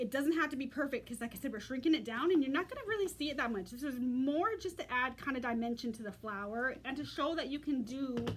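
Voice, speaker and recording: Over noticeable background noise, a woman with a high voice talks at a very fast pace with hardly any pauses. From United States. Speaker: craft demonstrator. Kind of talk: tutorial.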